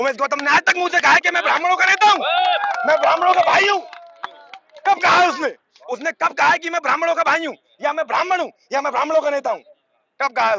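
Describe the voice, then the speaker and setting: A man speaks with an extremely high pitch and ordinary pitch variation. He leaves long, frequent pauses. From Bareilly area, Uttar Pradesh, India. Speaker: protester. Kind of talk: street interview at a protest. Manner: animated.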